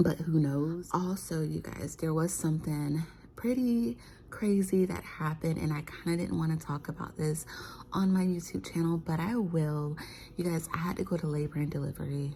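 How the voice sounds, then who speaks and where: At a moderate pace, a woman whispers in a somewhat breathy voice. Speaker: vlogger, stay-at-home mom. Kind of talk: casual vlog chat. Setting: living room at home. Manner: whispering.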